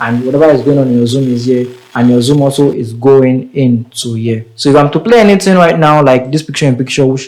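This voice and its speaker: There is noticeable background noise as a man speaks at a very fast pace. His medium pitch holds fairly even intonation. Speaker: tech tutorial creator. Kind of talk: tutorial. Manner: casual.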